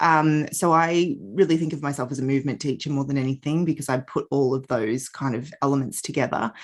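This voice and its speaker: A woman at a fairly quick pace with hardly any pauses, a very deep, low pitch and ordinary pitch variation, against a quiet background. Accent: Australian. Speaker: yoga and Pilates teacher. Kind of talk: podcast interview. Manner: hesitant, many fillers.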